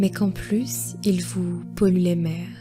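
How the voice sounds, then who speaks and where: A woman speaks in a calm, soothing tone while music plays in the background. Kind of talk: guided meditation narration.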